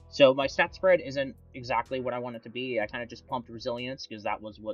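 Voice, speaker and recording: A man mumbles at a very fast pace and a medium pitch. Music plays in the background, and the sound is dry and close with no echo. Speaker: gaming YouTuber. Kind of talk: unscripted gaming tutorial. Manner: stutters and mumbles.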